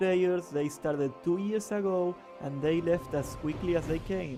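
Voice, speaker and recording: Ordinary pitch variation marks this moderately paced speech, with music in the background. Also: man. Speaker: gaming content creator. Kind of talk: gaming commentary voiceover.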